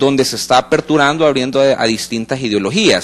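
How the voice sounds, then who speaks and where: Using an unremarkable speaking voice, a man talks at a fairly high pitch with ordinary pitch variation. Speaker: political analyst. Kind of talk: panel discussion on live radio/TV talk show.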